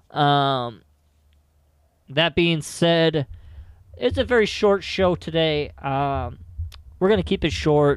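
A man speaks with a fairly high pitch and lively intonation. The recording is very clean, with a silent background and a dry, close sound free of echo. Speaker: fantasy football podcast host. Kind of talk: solo podcast monologue. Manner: hesitant, many filler words.

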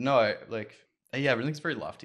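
Against a quiet background, a man with an unremarkable speaking voice talks with ordinary pitch variation. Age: 20s. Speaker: web design studio owner. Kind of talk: casual chat.

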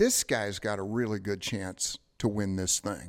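A man with an American accent and a normal speaking voice, fairly low in pitch, at a moderate pace with fairly even intonation. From Detroit. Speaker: ring announcer. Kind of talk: casual chat. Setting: studio.

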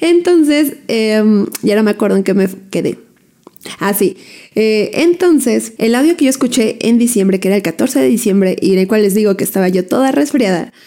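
With lively intonation and a dark, mellow tone, a woman talks at a moderate pace in a fairly high pitch. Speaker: photographer and podcast host. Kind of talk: casual monologue. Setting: home recording on video.

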